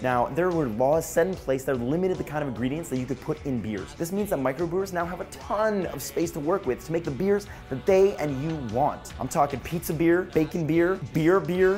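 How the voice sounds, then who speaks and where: Over music in the background, a man with a fairly high pitch speaks fairly quickly in an upbeat tone, his pitch swinging very widely. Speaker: web news show host. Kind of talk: comedic news segment to camera. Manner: upbeat, jokey.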